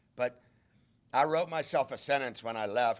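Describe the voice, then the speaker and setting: A man has a plain, everyday voice at a medium pitch with ordinary pitch variation. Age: 60s. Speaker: college football head coach. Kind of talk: press conference.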